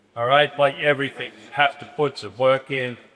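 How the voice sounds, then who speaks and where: A man with an Australian accent talks at a moderate pace in a fairly high pitch. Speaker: basketball coach. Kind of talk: lecture. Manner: halting.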